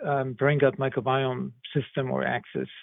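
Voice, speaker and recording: A man speaks at a moderate pace with a German accent. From Germany. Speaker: medical research professor. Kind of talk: interview. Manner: halting, many fillers.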